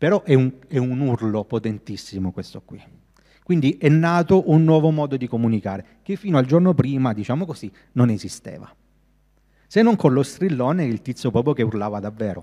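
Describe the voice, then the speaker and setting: A man's dark, mellow voice at medium pitch, with lively intonation and a fairly quick pace against a quiet background. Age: 30s. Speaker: graphic designer. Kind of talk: lecture. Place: hall. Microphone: handheld.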